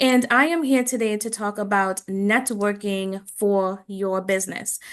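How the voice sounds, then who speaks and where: With a Trinidadian accent, this speaker uses ordinary pitch variation against a quiet background. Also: woman. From Trinidad and Tobago. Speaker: business coach and speaker. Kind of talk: presentation.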